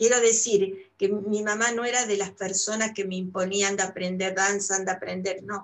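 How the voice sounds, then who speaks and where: With an Argentine accent, a woman speaks at a moderate pace and medium pitch, her intonation monotone and flat. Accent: Argentine Spanish (Rioplatense). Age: 70s. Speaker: retired painter and art teacher. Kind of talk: casual interview. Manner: halting, many fillers.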